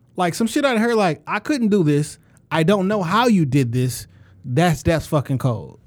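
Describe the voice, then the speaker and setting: A man with a Detroit accent speaks at a moderate pace in a high voice, his pitch swinging very widely while his loudness stays very even, on a very clean recording with a silent background. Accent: Detroit urban American English. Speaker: podcast co-host and former rapper. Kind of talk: casual chat. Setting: studio. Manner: animated, boastful.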